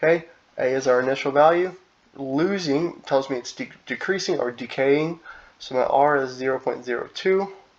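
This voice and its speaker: A man talks moderately fast, his fairly high voice showing ordinary pitch movement. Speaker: high school math teacher. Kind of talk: recorded lesson video. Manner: halting, with restarts.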